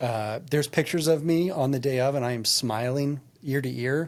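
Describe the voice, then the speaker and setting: Speaking with fairly even intonation, the man has a medium pitch. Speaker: executive coach and workplace trainer. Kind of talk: casual chat. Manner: fast.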